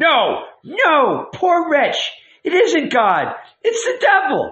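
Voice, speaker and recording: A man speaks very slowly in a put-on character voice pitched extremely high for a man. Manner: shouted.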